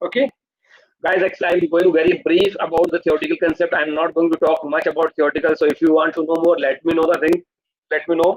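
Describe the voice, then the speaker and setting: A man talks at a very fast pace with a high pitch and fairly even intonation, in a dry, close sound with no echo. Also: very even loudness. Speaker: online course instructor. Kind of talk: live online lecture.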